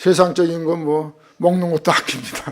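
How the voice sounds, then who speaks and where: A man is speaking. His pace is moderate. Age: 60s. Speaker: missionary. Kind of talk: sermon. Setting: church.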